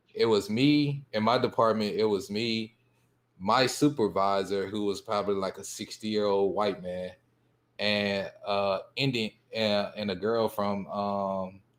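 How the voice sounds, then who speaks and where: A man with a fairly low pitch talks at a fairly slow pace, his intonation fairly even. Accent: Southern US. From US South. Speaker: panel guest, former computer programmer. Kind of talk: casual panel discussion.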